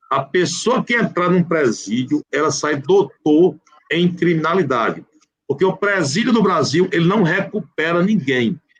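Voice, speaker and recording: With very even loudness and lively intonation, a man talks at a fairly slow pace in a high pitch. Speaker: public prosecutor and law professor. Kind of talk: live online legal discussion. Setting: live video call.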